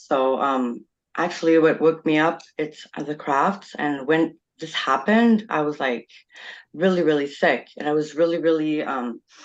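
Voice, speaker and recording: Her pitch very deep and low, a woman talks with a French accent at a moderate pace. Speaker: experiencer panelist. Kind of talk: casual panel discussion.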